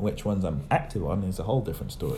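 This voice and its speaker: Soft-spoken and at a fairly low pitch, a man talks at a very fast pace. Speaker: professional wrestler. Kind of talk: casual chat.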